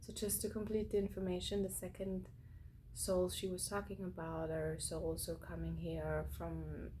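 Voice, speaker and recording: A woman with a non-native accent talks at a fairly slow pace, with audible room echo. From Austria, Vienna. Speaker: spiritual channel host. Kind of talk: casual monologue. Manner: halting, many fillers.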